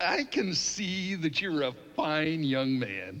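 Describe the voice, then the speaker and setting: Light background noise sits behind a man doing a fairly high-pitched cartoonish character voice. He talks at a very slow pace. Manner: smug, playful.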